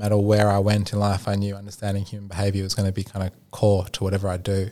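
Speaking in an Australian accent, this man has a fairly low pitch and a dark, mellow tone. He talks at a very fast pace. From Australia, Sydney. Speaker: product and innovation consultant. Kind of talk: podcast interview. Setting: studio.

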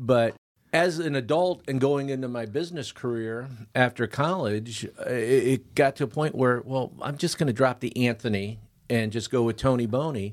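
In an unremarkable speaking voice, a man with an American accent talks at a moderate pace, with a medium pitch and ordinary pitch variation. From Michigan. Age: 50s. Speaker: barter franchise owner. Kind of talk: podcast interview.

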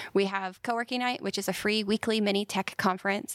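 A woman with an American accent and an ordinary speaking voice, in a dry, close sound with no echo. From central Pennsylvania. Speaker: nonprofit executive director. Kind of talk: interview.

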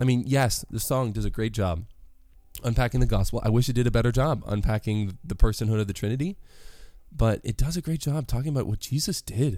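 Fairly quick speech over music in the background. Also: man, medium pitch for a man, ordinary pitch variation. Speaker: podcast host. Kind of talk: solo commentary podcast. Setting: home bedroom recording. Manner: casual, chatty.

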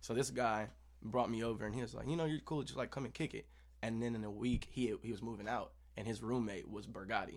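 At a very fast pace, a man talks with vocal fry at a medium pitch and fairly even intonation. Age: 20s. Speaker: musician. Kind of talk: casual chat.

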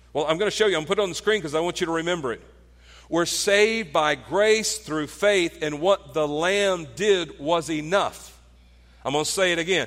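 A man talks rather quickly in a high register, his pitch moving in a normal way. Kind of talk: guided prayer closing a sermon.

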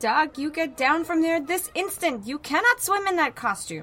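A shrill, high-pitched put-on character voice, shouting at a moderate pace. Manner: yelling, scolding.

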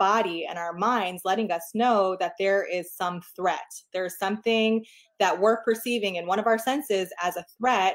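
A woman's ordinary speaking voice at a medium pitch and moderate pace, with ordinary pitch variation. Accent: American. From New York. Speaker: clinical psychologist. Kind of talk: interview.

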